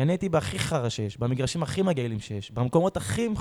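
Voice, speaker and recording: The sound is dry and close, with no echo. A man talks at a fairly quick pace, his pitch swinging very widely. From Israel, Beersheba. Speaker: professional footballer. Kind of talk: casual interview.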